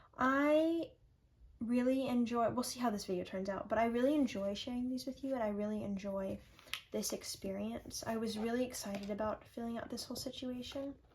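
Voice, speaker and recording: With a fairly high pitch and ordinary pitch variation, a woman speaks at a fairly quick pace. Noticeable background noise is present. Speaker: journaling vlogger. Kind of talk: casual vlog talk to camera. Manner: relaxed, chill.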